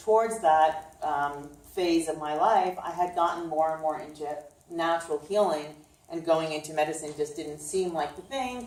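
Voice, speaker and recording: Over noticeable background noise, a woman with a New York accent speaks at a very deep, low pitch. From Brooklyn, New York. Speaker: chiropractor and nutritionist. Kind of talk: informal health talk. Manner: casual with many fillers.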